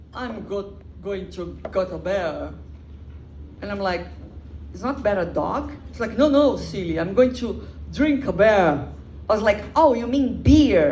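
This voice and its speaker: A woman with a Brazilian Portuguese accent, lively intonation and a fairly slow pace, plus audible room echo. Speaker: comedian. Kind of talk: stand-up. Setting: stage with audience.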